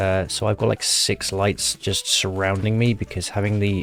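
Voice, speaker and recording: Music plays behind a man whose fairly low voice stays monotone and flat at a moderate pace. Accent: British. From Britain. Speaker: YouTuber opening card packs. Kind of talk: casual pack-opening commentary.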